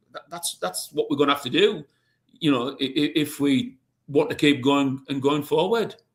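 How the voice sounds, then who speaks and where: A man speaks fairly high, his intonation lively. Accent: Cumbrian. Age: 60s. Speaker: pigeon racing administrator. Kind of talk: podcast interview.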